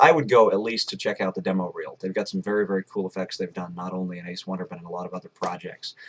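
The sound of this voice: A man talks at a very fast pace with few pauses and little pitch movement. His low-pitched voice has a slightly husky edge.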